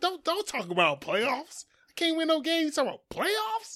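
A man puts on a character voice at an extremely high pitch, speaking at a moderate pace. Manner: angry, ranting.

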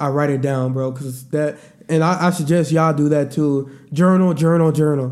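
A man's fairly high, ordinary speaking voice at a moderate pace with fairly even intonation. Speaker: podcast host. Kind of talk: casual chat.

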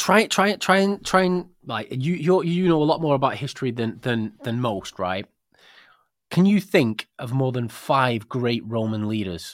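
A man's medium-pitched voice in a British accent, with very wide pitch swings and a fairly slow pace, on a very clean recording with a silent background. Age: 40s. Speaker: podcast host. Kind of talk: casual chat. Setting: studio.

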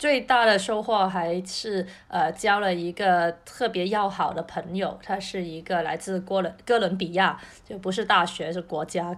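A woman's medium-pitched, fairly slow speech with fairly even intonation, very cleanly recorded over a silent background. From Cantonese-speaking region. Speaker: podcast co-host. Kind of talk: casual chat. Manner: repeats words, halting.

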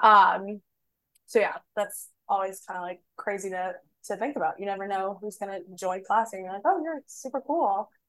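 A woman with an American accent has a plain, everyday voice at a medium pitch. She speaks at a moderate pace with big swings in loudness. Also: ordinary pitch variation. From Boston. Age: 20s. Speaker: podcast co-host. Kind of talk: casual chat.

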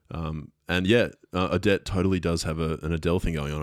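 A man with a very deep, low pitch speaks in a monotone, flat way. The recording is very clean, the background silent. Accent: Australian. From Brisbane, Australia. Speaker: music producer. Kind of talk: casual chat. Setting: studio.

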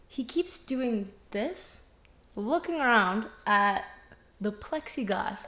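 Noticeable background noise fills the recording. A woman is speaking. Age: 20s. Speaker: podcast co-host. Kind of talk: casual chat.

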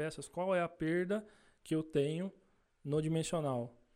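A man speaks in a dark, mellow tone at a fairly high pitch, with fairly even intonation over a quiet background. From Brazil, Salto (São Paulo state). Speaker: machining team leader. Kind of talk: casual interview chat.

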